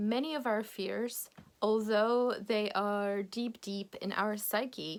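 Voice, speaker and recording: A woman with a Polish accent, fairly high in pitch, at a very slow pace. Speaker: English teacher. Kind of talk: video lesson. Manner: animated.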